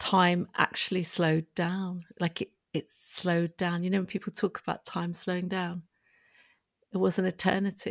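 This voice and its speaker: A woman at a fairly low pitch and moderate pace, dry and close with no echo, on a very clean recording with a silent background. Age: 50s. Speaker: prison reform campaigner. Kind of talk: interview.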